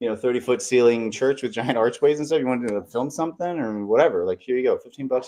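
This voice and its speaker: At a very fast pace with hardly any pauses, a man speaks in a medium pitch and a dark, mellow tone, with ordinary pitch variation and big swings in loudness. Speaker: studio and creative venue owner. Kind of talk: live panel chat.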